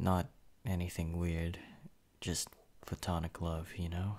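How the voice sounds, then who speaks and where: Intonation stays fairly even at a moderate pace, and the recording is very clean with a silent background. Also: man. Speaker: ASMR roleplay performer. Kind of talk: dramatic roleplay narration to a listener, confessional and remorseful. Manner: soft, halting, sighing, guilt-ridden, subdued.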